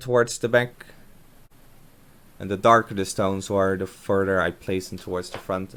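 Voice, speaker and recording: The speech moves at a fairly quick pace with a Dutch accent. The intonation stays monotone and flat. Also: man. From Netherlands. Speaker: aquarium hobbyist, gardener. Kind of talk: voiceover narration of build. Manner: casual, hesitant with fillers.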